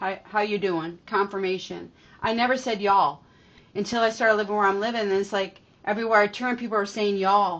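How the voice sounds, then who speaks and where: At a fairly quick pace, a woman with a medium pitch speaks in an animated tone. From New York. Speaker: spiritual reader, tarot channel host. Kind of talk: spiritual channeling reading, casual monologue. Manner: animated, conversational.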